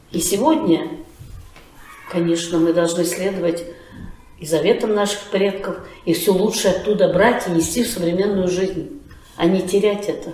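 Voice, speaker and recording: Speaking at a medium pitch and a moderate pace, a woman is heard. Noticeable background noise and audible room echo surround her voice. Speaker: folk arts school director. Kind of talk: interview. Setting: at her school.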